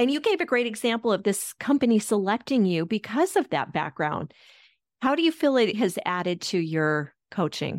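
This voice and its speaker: With an American accent, a woman talks at a moderate pace in very even loudness, her pitch swinging very widely. The recording is very clean against a silent background. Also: dry, close sound with no echo. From Colorado, US. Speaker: podcast host. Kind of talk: interview.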